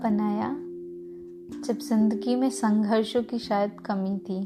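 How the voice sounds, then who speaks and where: A woman speaks with music in the background. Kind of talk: spoken word poetry.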